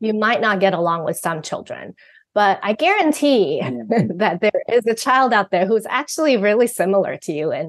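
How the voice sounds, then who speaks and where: Against a quiet background, a woman speaks with a Mandarin accent at a moderate pace. Her pitch is fairly high and her intonation lively. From Taiwan. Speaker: parenting author and guest co-host. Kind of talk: podcast conversation.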